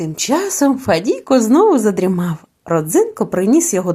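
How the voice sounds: The voice reads in a natural way. The background is quiet.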